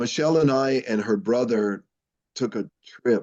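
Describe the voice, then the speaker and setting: A man with an American accent, a dark, mellow tone and a fairly slow pace. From Wyoming, US. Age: 60s. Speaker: basketball coach. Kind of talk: casual interview.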